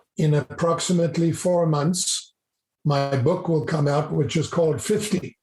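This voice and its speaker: Over music in the background, a man with a fairly high pitch speaks at a fairly slow pace, with ordinary pitch variation and very even loudness. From South Africa. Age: 70s. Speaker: business professor and mentor. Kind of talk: podcast interview.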